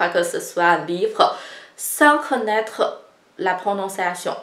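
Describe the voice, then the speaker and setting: A woman with a Chinese accent speaks at a very slow pace. Her pitch is medium and her intonation lively. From China. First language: Chinese (speaking French). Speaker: Chinese language teacher. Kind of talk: tutorial.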